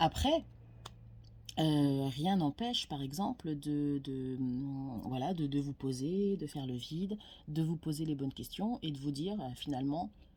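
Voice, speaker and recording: On a very clean recording with a silent background, a woman speaks at a very deep, low pitch with a dark, mellow tone and ordinary pitch variation. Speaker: tarot card reader. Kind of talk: casual monologue to camera. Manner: hesitant, many fillers.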